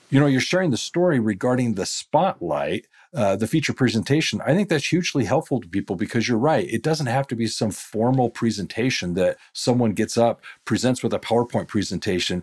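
With an ordinary speaking voice, a man talks at a fairly quick pace and medium pitch, hardly pausing, in a dry, close sound with no echo on a very clean recording with a silent background. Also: lively intonation. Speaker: podcast host, accounting education company president. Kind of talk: interview.

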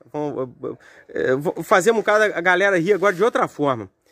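Over a quiet background, a man with a high pitch speaks with lively intonation in a dry sound with no echo. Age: 40s. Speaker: mechanic workshop owner, video host; video host. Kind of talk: casual workshop vlog; casual vlog chat. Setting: workshop. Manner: animated, joking. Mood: playful joking. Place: garden. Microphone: phone near.

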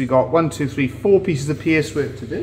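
A man, with light background noise. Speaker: woodworker demonstrating. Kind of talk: live stream tutorial. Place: workshop.

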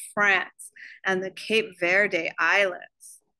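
Slowly, a woman speaks in a bright, sharp tone.

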